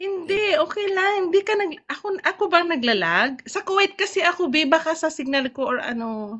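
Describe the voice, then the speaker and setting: A woman speaks with extremely high pitch and lively intonation at a moderate pace. She hardly pauses at all. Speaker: live stream viewer calling in. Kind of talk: casual chat. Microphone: lagging connection.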